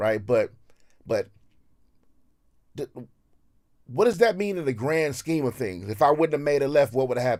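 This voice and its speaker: A man's fairly high voice with an American accent, very wide pitch swings, and long, frequent pauses. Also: moderate pace. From Los Angeles (Watts), US West Coast. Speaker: rapper. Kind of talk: casual chat. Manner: halting.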